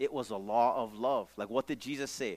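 This is a man speaking. He has a Hawaiian accent. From Hawaii, Maui. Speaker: pastor. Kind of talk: sermon. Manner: casual, conversational.

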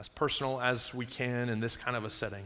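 A man of medium pitch speaks with fairly even intonation. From Upstate New York, then South Carolina from age 15. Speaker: pastor. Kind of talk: sermon. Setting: church. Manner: conversational, audience-engaging.

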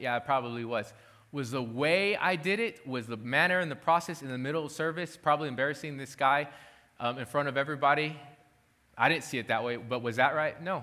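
A man talks very fast in a fairly high pitch, with ordinary pitch variation and a bright, sharp tone. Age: 30s. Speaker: pastor. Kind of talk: sermon.

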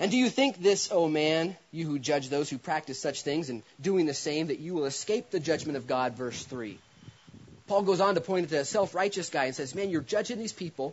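A man with a plain, everyday voice, fairly high in pitch, fairly quick, and lively in intonation. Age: 30s. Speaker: pastor. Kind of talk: sermon.

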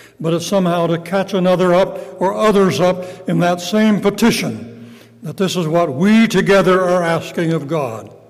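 A man's high-pitched voice at a moderate pace, ordinary pitch variation, and noticeable background noise. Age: 80s+. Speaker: retired pastor and evangelist. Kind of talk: sermon. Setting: church.

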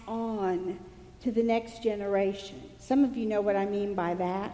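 A woman with an American accent at a fairly slow pace, with audible room echo. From East Texas. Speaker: pastor. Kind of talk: sermon. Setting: church.

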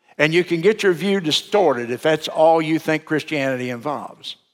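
The man's intonation is lively as he talks. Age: 70s. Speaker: pastor. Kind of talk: sermon. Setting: church.

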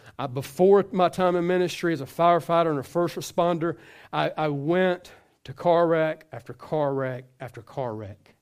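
A man with a plain, everyday voice speaks at a moderate pace, fairly high in pitch with ordinary pitch variation. His loudness swings widely on a very clean recording with a silent background. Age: 40s. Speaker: pastor. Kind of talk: sermon. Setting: church.

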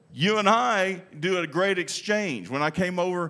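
A man speaks with a Texan accent. The recording is very clean, with a silent background. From Texas. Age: 60s. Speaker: pastor. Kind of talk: sermon. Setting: church with congregation.

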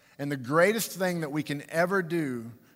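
A man speaks at a fairly slow pace with ordinary pitch variation. Room echo is audible. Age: 40s. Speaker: pastor. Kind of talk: sermon. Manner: halting.

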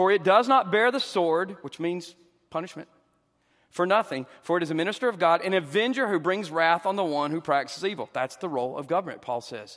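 A man talks at a fairly quick pace in a Southern US accent. His pitch is high. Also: lively intonation. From US South. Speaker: pastor and counselor. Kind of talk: church Q and A discussion. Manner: fast talker.

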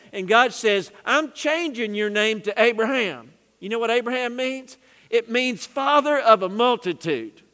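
Projecting a raised voice at an extremely high pitch, a man speaks fairly slowly with ordinary pitch variation. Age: 60s. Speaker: pastor. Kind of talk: sermon. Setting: church. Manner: animated.

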